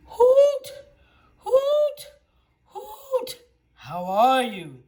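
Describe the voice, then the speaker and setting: This is a put-on character voice. It sounds squeaky. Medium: read story.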